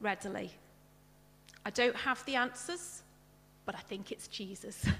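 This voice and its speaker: Over music in the background, a woman speaks at a fairly slow pace with ordinary pitch variation and long, frequent pauses. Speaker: lay preacher. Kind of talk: sermon. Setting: church with congregation and Zoom.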